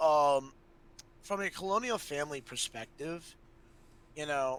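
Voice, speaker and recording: A man's fairly high-pitched voice in an American accent, with lively intonation and a fairly slow pace. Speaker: streamer. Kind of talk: casual chat. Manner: halting.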